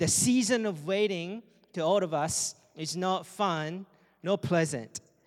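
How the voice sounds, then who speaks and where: Speaking very slowly in a Japanese accent, a man has a high pitch and ordinary pitch variation. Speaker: campus missionary. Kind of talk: sermon. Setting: church.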